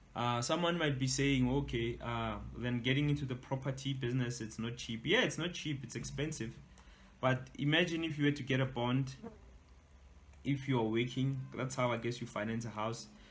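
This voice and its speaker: Somewhat breathy and fairly even in intonation, a man speaks at a medium pitch with audible room echo. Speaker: entrepreneur and author. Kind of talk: webinar talk. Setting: online webinar. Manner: casual, hesitant with fillers; fast.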